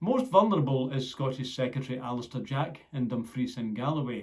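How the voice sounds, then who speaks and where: The man's voice is somewhat breathy and medium in pitch. He talks at a moderate pace. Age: 60s. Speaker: political commentator. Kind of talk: scripted narration.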